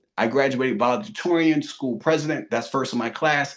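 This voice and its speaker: A man talks with a Philadelphia accent. His pitch sits fairly high. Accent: Philadelphia American. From US, Philadelphia. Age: 40s. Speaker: real estate investor. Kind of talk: interview.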